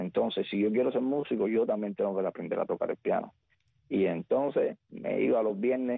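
Here a man is speaking. He keeps a fairly quick pace. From Cuba, rural Havana province. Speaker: singer. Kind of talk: radio interview.

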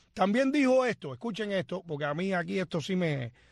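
Lively intonation carries a man's high-pitched voice. The sound is dry and close with no echo, over a quiet background. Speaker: radio host. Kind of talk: casual talk show.

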